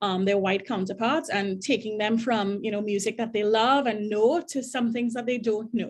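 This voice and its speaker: A woman with a Trinidadian accent and a fairly high pitch speaks at a fairly quick pace with fairly even intonation. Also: quiet background. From Trinidad and Tobago. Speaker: diversity director at a college. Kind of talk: panel discussion. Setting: video call.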